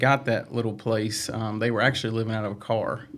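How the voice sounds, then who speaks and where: Over noticeable background noise, a man with a Southern US accent talks at medium pitch and a moderate pace. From Virginia, Franklin County near Roanoke. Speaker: staff member and stand-up comedian. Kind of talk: personal testimony in interview. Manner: hesitant, many fillers.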